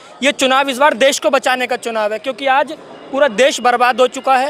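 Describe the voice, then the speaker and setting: The delivery has a moderate pace and fairly even intonation. Noticeable background noise runs underneath. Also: man. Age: 30s. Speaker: political party worker. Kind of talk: interview.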